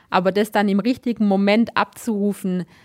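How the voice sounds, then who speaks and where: The delivery is monotone, with flat intonation and a fairly slow pace. The recording is very clean, with a silent background. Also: woman. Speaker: biathlete. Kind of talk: interview.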